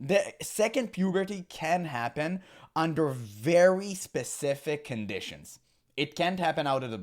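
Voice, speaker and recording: An animated tone at a fairly slow pace, very wide pitch swings, on a very clean recording with a silent background. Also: man. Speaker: gaming commentator. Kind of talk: reaction commentary.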